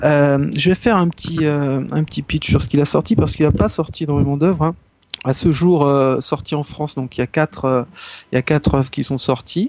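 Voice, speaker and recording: At a moderate pace, a man speaks in a fairly high pitch with ordinary pitch variation and an unremarkable speaking voice. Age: 30s. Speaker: doctor and manga fan. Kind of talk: casual chat.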